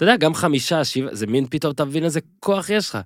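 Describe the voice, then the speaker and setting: A man talks at a very fast pace with ordinary pitch variation. The recording is very clean with a silent background, dry and close with no echo. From Israel, moshav. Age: 30s. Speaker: podcast host. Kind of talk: interview. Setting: studio.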